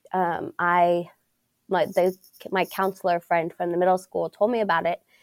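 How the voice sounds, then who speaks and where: A woman with an American accent speaks in a fairly low pitch and a monotone, flat intonation, with a dry, close sound and no echo. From Pittsburg, Kansas, US Midwest. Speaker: school student support coordinator. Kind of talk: interview.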